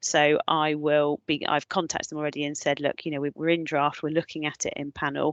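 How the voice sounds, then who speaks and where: With a very deep, low pitch and monotone, flat intonation, a woman talks at a fairly quick pace in a dry, close sound with no echo and a quiet background. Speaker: designated clinical officer in health. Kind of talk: webinar presentation and Q&A. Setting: online webinar. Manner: fast; hesitant, many fillers and restarts.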